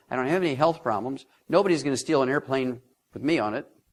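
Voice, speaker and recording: In an animated tone, a man with a medium pitch talks at a very fast pace with ordinary pitch variation. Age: 70s. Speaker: lecturer on nutrition, former veterinarian. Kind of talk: seminar lecture.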